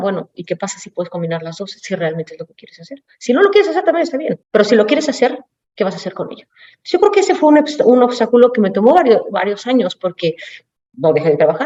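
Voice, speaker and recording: Talking at a very fast pace, a woman uses high pitch and very wide pitch swings. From Mexico City. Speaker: automotive executive. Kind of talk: panel talk.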